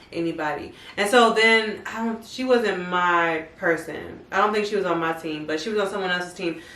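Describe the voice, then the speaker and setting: Over noticeable background noise and audible room echo, a woman talks at a moderate pace with hardly any pauses, using a medium pitch and ordinary pitch variation. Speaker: podcast co-host. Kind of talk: casual chat. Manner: louder, trying to be energetic.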